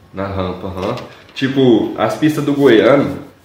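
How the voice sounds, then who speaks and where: There is audible room echo along with noticeable background noise. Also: man. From Goiás, Brazil. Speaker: motocross rider and coach. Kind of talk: casual chat. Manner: casual slangy.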